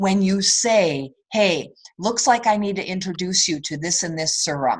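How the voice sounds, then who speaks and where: Against a quiet background, a woman with a medium pitch talks at a fairly slow pace with lively intonation. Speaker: direct sales team leader. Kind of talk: sales training call. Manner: softer when giving tough love.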